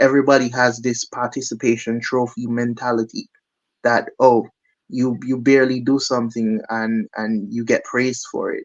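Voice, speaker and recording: In a slight Caribbean accent, a man speaks at a moderate pace with a medium pitch and monotone, flat intonation. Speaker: musician, drummer. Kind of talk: interview. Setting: studio.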